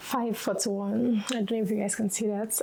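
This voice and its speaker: A woman speaks with a fairly high pitch. Noticeable background noise can be heard behind her. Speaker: lifestyle vlogger. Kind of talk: casual vlog talk to camera. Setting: at home. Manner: slow, just woke up.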